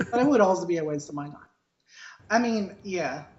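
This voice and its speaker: Audible room echo surrounds a woman speaking at a medium pitch and a moderate pace. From Argentina. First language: Spanish. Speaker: podcast co-host. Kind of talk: casual chat. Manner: animated.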